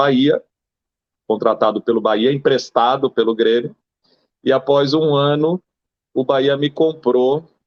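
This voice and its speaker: Ordinary pitch variation shapes the medium-pitched voice of a man. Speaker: former football goalkeeper. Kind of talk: interview.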